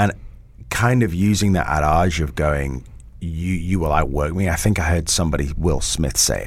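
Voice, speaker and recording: A man's very deep, low voice with an English accent and ordinary pitch variation, at a moderate pace, with audible room echo and noticeable background noise. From England, Italian background. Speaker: school founder and former actor. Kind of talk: casual interview chat.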